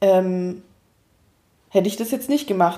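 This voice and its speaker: A woman speaks at a moderate pace with a medium pitch and a dark, mellow tone. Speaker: podcast co-host. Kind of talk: casual chat. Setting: home recording, echoey room.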